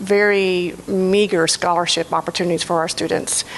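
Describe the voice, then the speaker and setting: Noticeable background noise behind a woman talking at a moderate pace, her medium pitch carried in fairly even intonation. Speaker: faculty member. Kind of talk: faculty forum comment. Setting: ballroom forum with audience. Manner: halting.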